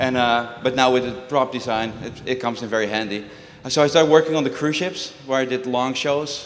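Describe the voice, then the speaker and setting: A man with a Dutch accent speaks at a fairly quick pace and a medium pitch. Audible room echo and noticeable background noise surround him. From Netherlands. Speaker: juggler and prop designer. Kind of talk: talk to a live audience. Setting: stage with audience. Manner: conversational, animated.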